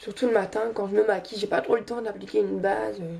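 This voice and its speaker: There is noticeable noise in the background. Over it, a woman talks fairly quickly. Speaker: beauty youtuber. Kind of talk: makeup tutorial. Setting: bedroom. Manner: halting, many hesitations.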